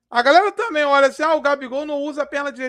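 A man's high-pitched voice comes through against a quiet background. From Brazil. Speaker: football YouTuber. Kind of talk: live stream commentary. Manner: casual, slangy. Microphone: headset.

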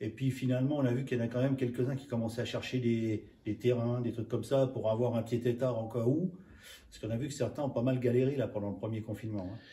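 Here a man speaks fast with fairly even intonation. His medium-pitched voice has a dark, mellow tone.

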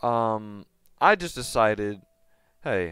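A man speaks in a dry recording with no echo while faint music plays in the background. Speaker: gaming youtuber. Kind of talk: casual gameplay commentary. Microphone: headset.

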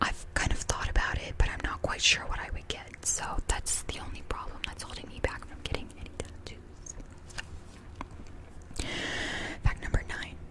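Whispering at a moderate pace, a woman leaves long, frequent pauses. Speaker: ASMR creator. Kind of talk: ASMR personal facts talk. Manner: whispered. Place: home room. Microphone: studio mic.

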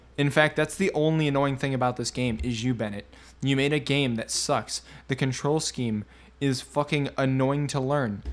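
In a furious, animated tone, the speaker talks at a moderate pace. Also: man, very clean recording, silent background. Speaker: gamer YouTuber. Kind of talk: angry rant at the game and its narrator, cursing. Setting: recorded gameplay commentary. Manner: loud, furious, shouting and swearing; animated, sarcastic.

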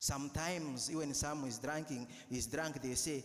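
Speaking with a Ugandan accent, a man has an animated tone and a fairly high pitch. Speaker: priest. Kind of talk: sermon. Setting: church. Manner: earnest, exhorting; animated, rhetorical.

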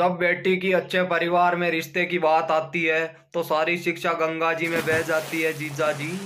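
Light background noise sits behind a man with a high pitch. He speaks at a fairly slow pace with monotone, flat intonation. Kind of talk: comedic skit monologue. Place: home room. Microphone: phone near.

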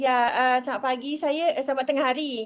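A woman's high-pitched voice holds a fairly even intonation. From Malaysia. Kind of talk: meeting discussion. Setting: video call. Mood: polite, slightly hesitant. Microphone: video call.

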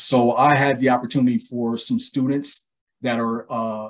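The man here talks at a moderate pace. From Ohio, Columbus; Ohio. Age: 40s. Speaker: archaeologist and educator, small business owner; educator, guest. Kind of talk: interview. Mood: calm, friendly. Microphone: video call.

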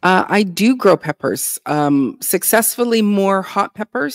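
A woman talks at a fairly slow pace with lively intonation. The sound is dry with no echo, and the background is quiet. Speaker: urban homesteader and content creator; content creator. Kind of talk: casual interview chat. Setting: video call livestream. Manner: halting, many fillers. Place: home room.

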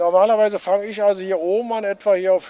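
Dry, with no echo, the recording has a man speaking at a high pitch in a dark, mellow tone. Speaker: ship model builder. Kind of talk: explaining a craft in interview. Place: hall. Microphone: handheld.

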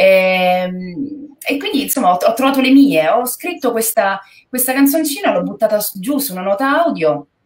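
Her intonation lively, a woman talks at a fairly quick pace. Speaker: guest actress. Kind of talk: interview answer. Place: home room.

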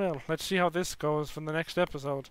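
The voice goes at a fairly quick pace with ordinary pitch variation, in a dry sound with no echo. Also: man. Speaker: reaction video creator. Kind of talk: casual vlog chat. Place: home room. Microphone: headset.

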